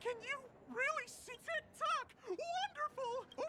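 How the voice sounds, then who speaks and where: A squeaky put-on character voice at an extremely high pitch moves at a fairly slow pace over light background noise. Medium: video game. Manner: excitable, repeats "tick-tock".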